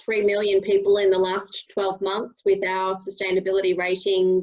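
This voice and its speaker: A woman with an Australian accent speaks at a medium pitch and a moderate pace, her intonation monotone and flat. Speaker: co-founder of a brand rating app. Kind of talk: panel webinar discussion. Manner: halting, many fillers.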